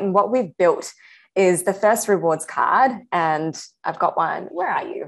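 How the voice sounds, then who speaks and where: A woman talks at a fairly slow pace in an ordinary speaking voice of medium pitch, her intonation lively. The recording is very clean, with a silent background. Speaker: startup co-founder. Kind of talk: casual interview chat.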